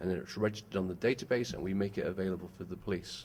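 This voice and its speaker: A very fast-talking man with a British accent and a fairly low pitch. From UK. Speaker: company executive and former police officer. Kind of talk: press conference presentation.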